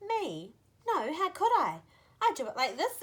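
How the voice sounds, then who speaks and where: A woman in a put-on character voice sounds squeaky, with an extremely high pitch and a moderate pace. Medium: read story.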